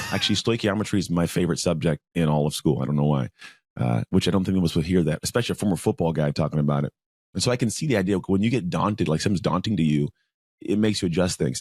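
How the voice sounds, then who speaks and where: A man's very deep, low voice at a very fast pace, lively in intonation and very even in loudness, with a dry, close sound and no echo. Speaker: podcast host and motivational speaker. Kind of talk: casual interview chat. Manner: fast talker.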